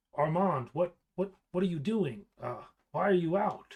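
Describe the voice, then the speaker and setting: Using a put-on character voice, a man speaks at a high pitch in a raised, projected voice at a moderate pace. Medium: actual play. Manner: hesitant, stammering.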